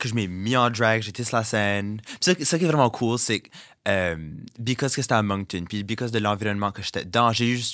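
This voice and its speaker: Animated in tone, a man talks at a fairly quick pace and medium pitch with ordinary pitch variation. His loudness swings widely. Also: very clean recording, silent background. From Dieppe, New Brunswick (Acadian, southeast). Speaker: drag queen and content creator. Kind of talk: interview. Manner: animated, mixing French and English.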